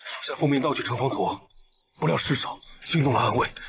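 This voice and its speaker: A man puts on a raspy character voice, pitched fairly high and delivered at a fairly quick pace. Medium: short film. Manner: tense, threatening.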